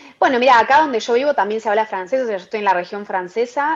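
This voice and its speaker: Very fast and fairly high-pitched, a woman rattles off her words. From Argentina. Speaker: entrepreneur. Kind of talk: interview. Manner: hesitant, many fillers.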